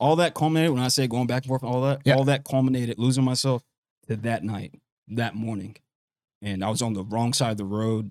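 A man with a medium pitch and an American accent at a very fast pace. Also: ordinary pitch variation. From US South, Columbia, South Carolina. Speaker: boxer. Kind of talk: casual chat. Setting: studio.

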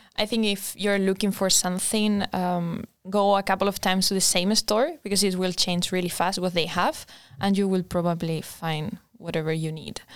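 A woman speaks with a Spanish accent at medium pitch. Her pace is moderate and her intonation fairly even. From Spain. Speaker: design master's student. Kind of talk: casual chat.

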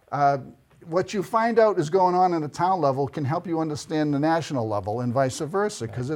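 A plain, everyday voice from a man with an American accent, fairly high in pitch with lively intonation, on a very clean recording with a silent background. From Boston area, Massachusetts. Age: 60s. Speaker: local election candidate. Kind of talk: interview.

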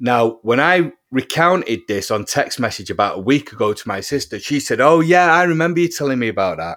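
Here a man with a British accent speaks at a moderate pace with lively intonation. The recording is very clean, over a silent background. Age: 40s. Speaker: musician and UFO experiencer. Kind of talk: interview testimony. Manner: halting, many repetitions.

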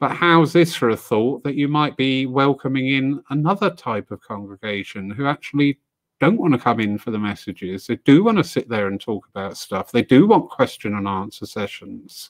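Lively intonation from a man at a moderate pace, in a dry, close sound with no echo. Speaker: panel host. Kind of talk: moderated panel discussion. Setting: online video call.

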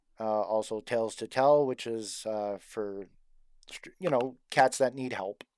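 This man has a plain, everyday voice with ordinary pitch variation and a fairly slow pace. The recording is very clean, with a silent background. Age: 40s. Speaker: cosplay fan group co-founder. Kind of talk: casual chat.

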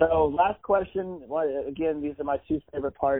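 A man talks in a plain, everyday voice. It is fairly high-pitched, with fairly even intonation. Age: 40s. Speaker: podcast host. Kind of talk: casual interview. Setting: video call.

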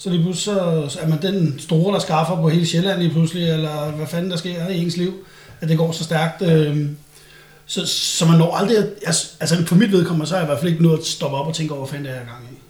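A man's high-pitched voice at a fairly quick pace, with fairly even intonation over noticeable background noise. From Danish provinces. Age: 40s. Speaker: former bodybuilder and steroid user. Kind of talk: casual chat.

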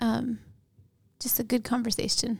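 A woman with an American accent. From Montana, Hamilton. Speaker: pastor. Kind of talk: casual chat. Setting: studio.

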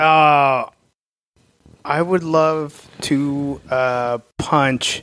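With an American accent, a man talks in an unremarkable speaking voice, his pitch fairly high and his intonation fairly even. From Oklahoma. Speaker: stand-up comedian. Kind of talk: casual chat.

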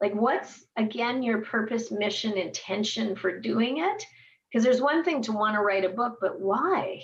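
An unremarkable speaking voice with lively intonation, at a fairly slow pace. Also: woman. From western Canada, raised in Edmonton, Alberta. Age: 50s. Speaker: entrepreneur and speaker. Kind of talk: interview.

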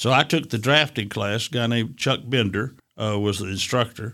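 This man has an East Tennessee accent and a bright, sharp tone, talking at a fairly quick pace with fairly even intonation. The recording is very clean, with a silent background. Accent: Southern US (East Tennessee). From Chattanooga, Tennessee. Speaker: retired engineering executive. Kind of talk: interview.

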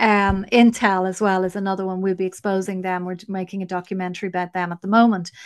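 Against a quiet background, a woman with an Irish accent speaks at a fairly quick pace in a medium pitch. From Ireland. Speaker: investigative journalist. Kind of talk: interview.

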